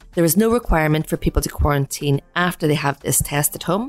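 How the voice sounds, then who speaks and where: A woman's very deep, low voice at a fairly quick pace, recorded dry and close with no echo, amid noticeable background noise. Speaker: podcast host. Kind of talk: scripted podcast narration with interview.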